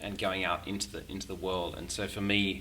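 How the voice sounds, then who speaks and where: A man with an Australian accent and a fairly low-pitched voice. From Sydney, Australia. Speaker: musician and faith community founder. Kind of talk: podcast interview. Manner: halting, many fillers.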